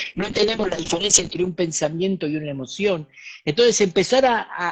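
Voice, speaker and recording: Speaking at a high pitch, a man uses ordinary pitch variation. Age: 60s. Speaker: spiritual teacher and author. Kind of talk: talk in an online interview.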